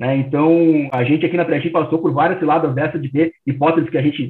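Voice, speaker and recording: A man with a slight gaúcho accent talks very fast in a fairly high, flat monotone. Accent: mild southern Brazilian (gaúcho). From Rio Grande do Sul, Porto Alegre. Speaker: startup founder. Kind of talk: interview.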